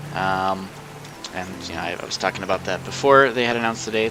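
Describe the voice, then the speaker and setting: Against noticeable background noise, a man speaks fairly quickly at a fairly low pitch with ordinary pitch variation. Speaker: video game streamer. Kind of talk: casual gaming livestream chat. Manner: slurred speech; relaxed, laid-back.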